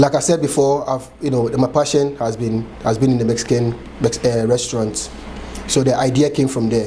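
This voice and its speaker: With a Ghanaian accent, a man speaks at medium pitch and a moderate pace. His intonation is fairly even, and there is noticeable background noise. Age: 30s. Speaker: chef and restaurant owner. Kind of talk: oral history interview answer.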